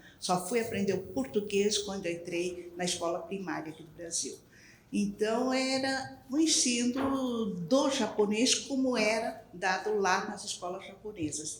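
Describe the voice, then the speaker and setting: Amid noticeable background noise and audible room echo, a woman at a medium pitch speaks at a fairly slow pace with lively intonation and big swings in loudness. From Brazil. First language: Japanese (speaking Portuguese). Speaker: language educator. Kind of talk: panel discussion.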